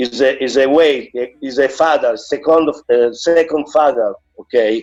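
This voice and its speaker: A man speaks with an Italian accent at a fairly high pitch. Music plays in the background. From Italy. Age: 50s. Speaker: martial arts master. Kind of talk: interview. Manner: halting.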